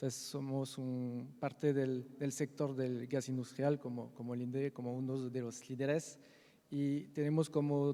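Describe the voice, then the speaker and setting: With a non-native accent, a man of medium pitch speaks at a fairly slow pace in a flat monotone, his tone dark and mellow. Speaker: industrial gas company executive, panelist. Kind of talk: conference panel discussion. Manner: halting.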